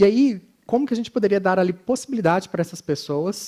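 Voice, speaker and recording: A Minas Gerais accent at a moderate pace, with ordinary pitch variation. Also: man. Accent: Minas Gerais (mineiro). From Minas Gerais, Brazil. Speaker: conference speaker, design educator. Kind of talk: conference talk.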